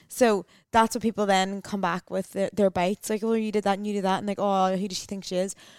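A woman speaks at a medium pitch and a very fast pace. The sound is dry and close with no echo, on a very clean recording with a silent background. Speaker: digital wellness coach. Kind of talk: casual chat. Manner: animated.

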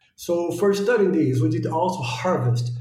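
In a room with audible echo, a man with a Brazilian accent talks at a moderate pace with lively intonation. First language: Portuguese. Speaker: postdoctoral biologist. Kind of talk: interview, scientific explanation.

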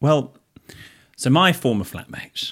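A man speaks with a British accent. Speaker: podcast co-host. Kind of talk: casual chat.

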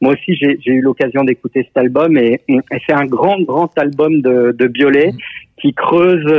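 A man's unremarkable speaking voice, fairly high in pitch, slowish in pace, with ordinary pitch variation. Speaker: music journalist. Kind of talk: casual chat. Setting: phone call. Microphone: telephone line.

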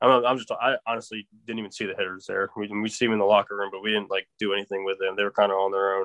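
A man with an American accent talks at a very fast pace in a monotone, flat intonation. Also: fairly low pitch for a man, hardly any pauses. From Delaware, US. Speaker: baseball pitching prospect. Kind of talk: casual interview. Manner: halting, many fillers.

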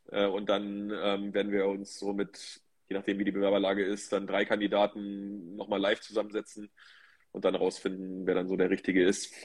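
The man's fairly low voice holds a monotone, flat intonation at a moderate pace. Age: 40s. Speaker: managing director of a sports marketing agency. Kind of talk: interview. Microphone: phone.

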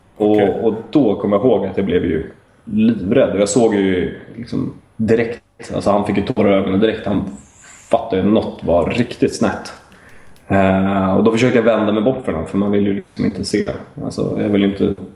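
Speech at a moderate pace with fairly even intonation is heard over noticeable background noise. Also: man, fairly low pitch for a man. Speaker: stroke survivor and former footballer. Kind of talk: interview. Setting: Skype call. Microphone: sometimes choppy line.

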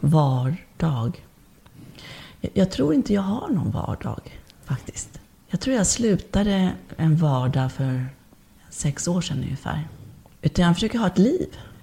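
A woman's dark, mellow, somewhat breathy voice, fairly slow, with very wide pitch swings and long, frequent pauses. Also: fairly low pitch for a woman. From born abroad, moved to Sweden at age four. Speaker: body and movement therapist, birth doula. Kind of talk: casual interview chat.

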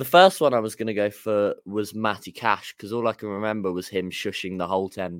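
A man with a plain, everyday voice speaks at a fairly low pitch and fairly quick pace, with hardly any pauses and fairly even intonation. The recording is very clean with a silent background, its sound dry and close with no echo. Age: young. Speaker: football fan podcaster. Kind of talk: casual chat.

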